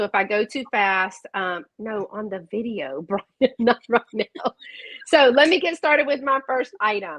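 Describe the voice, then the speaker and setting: Speaking at a fairly slow pace, a woman with a fairly high pitch uses lively intonation and an animated tone. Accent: Southern US. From South Carolina. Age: 50s. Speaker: online vintage seller. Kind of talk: live sales stream. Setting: live video stream.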